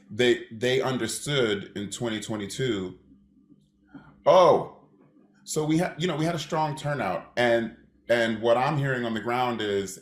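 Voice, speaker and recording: With an American accent and a plain, everyday voice, a man speaks at a moderate pace and medium pitch with ordinary pitch variation. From USA. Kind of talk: panel discussion.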